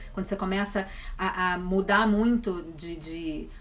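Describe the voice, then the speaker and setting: A woman amid noticeable background noise. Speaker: online wellness speaker. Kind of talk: live stream Q&A. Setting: Instagram live. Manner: stutters at times.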